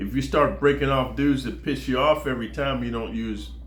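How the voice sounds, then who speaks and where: A man talks at a fairly quick pace with an American accent. Audible room echo surrounds his voice. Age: 60s. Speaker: former prisoner storyteller. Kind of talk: casual monologue. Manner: casual, slangy.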